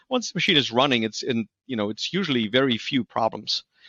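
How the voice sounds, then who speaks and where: A man with a slight German accent speaks very fast in a bright, sharp tone. The sound is dry and close, with no echo. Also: quiet background. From Germany. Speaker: industrial maintenance expert. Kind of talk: podcast interview. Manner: halting, many fillers and repeats.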